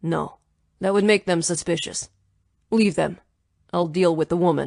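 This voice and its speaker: A female-sounding put-on character voice is raspy and middle in pitch. The pace is moderate. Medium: read story. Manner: clipped, authoritative.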